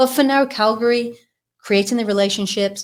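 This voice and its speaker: With a British accent, a woman speaks at a fairly slow pace. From UK. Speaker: business founder. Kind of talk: interview.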